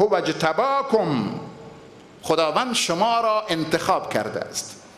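Audible room echo surrounds a man who talks at a fairly slow pace with very wide pitch swings. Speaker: preacher. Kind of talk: sermon. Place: church. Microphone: podium.

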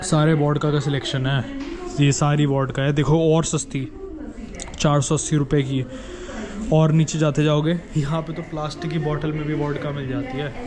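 A man with a fairly high pitch and little pitch movement, clear background noise behind him. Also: moderate pace.

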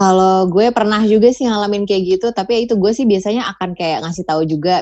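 A woman talks at a very fast pace in a dark, mellow tone. Her intonation stays fairly even. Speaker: voice-over talent and former radio announcer. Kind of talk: casual chat.

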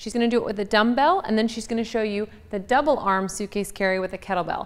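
A woman with ordinary pitch variation. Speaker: fitness coach. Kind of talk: tutorial. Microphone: lapel.

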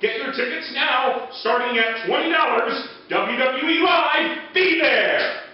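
Over strong room echo, a man speaks at a fairly slow pace with an extremely high pitch and ordinary pitch variation. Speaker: sports announcer and voice over artist. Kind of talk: live event radio commercial read. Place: studio.

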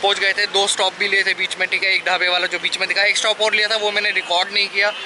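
A man speaks at a very fast pace in a raised, projected voice, with monotone, flat intonation, very even loudness and a dry sound with no echo over noticeable background noise. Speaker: motovlogger. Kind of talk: casual vlog chat. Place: street. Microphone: phone near.

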